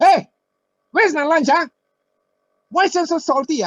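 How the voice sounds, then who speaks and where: The pitch is extremely high. It comes in a put-on character voice. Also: moderate pace. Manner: harsh, demanding, irritated.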